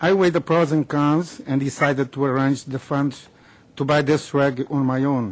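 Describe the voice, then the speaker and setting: Speaking in an ordinary speaking voice, a man keeps a fairly high pitch, a moderate pace and fairly even intonation. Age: 60s. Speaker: cancer patient advocate. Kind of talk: prepared public statement. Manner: formal.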